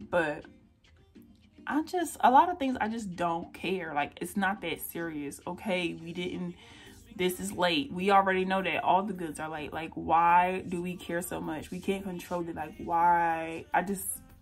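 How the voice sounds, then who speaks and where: A woman speaks fairly slowly in a fairly low pitch with an American accent. Her pitch variation is ordinary. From North Carolina, US South. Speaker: beauty vlogger. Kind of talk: casual chat. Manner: animated.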